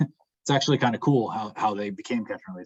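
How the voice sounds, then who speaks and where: A man with an ordinary speaking voice, medium pitch, lively intonation and a dry, close sound with no echo. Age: 30s. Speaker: fishing guide. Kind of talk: Q&A after a presentation.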